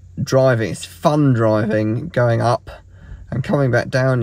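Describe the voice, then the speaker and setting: Somewhat breathy, a man talks at a moderate pace in a dry sound with no echo. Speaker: road trip vlogger. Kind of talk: casual vlog chat. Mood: relaxed, pleased. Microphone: phone near.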